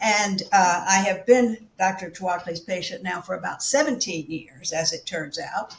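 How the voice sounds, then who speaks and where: With hardly any pauses, a woman at medium pitch talks at a moderate pace and with lively intonation over noticeable background noise. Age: 80s+. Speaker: patient. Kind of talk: casual interview. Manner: hesitant, with fillers.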